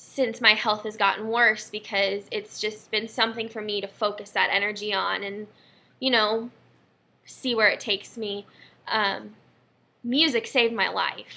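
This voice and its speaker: A woman's fairly high, bright and sharp voice with vocal fry, monotone and flat at a moderate pace. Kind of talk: casual talk to camera. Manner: rambling, slight stutter.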